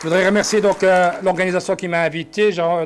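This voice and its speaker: A man speaking at a fairly quick pace. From Belgium (Brussels, Flemish). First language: Dutch (speaking French). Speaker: politician. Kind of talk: conference speech. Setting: conference hall with audience. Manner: halting with many fillers.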